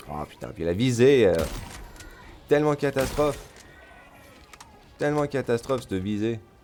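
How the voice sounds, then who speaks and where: Against noticeable background noise, a man of medium pitch speaks at a moderate pace with lively intonation, big swings in loudness, and long, frequent pauses. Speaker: gaming streamer. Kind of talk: gameplay commentary. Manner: animated.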